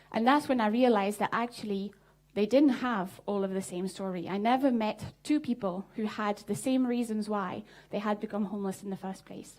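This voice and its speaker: A woman speaks with a French accent. Her pitch sits in the medium range. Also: ordinary pitch variation, moderate pace. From southern France. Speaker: social entrepreneur. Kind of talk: conference talk. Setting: stage with audience.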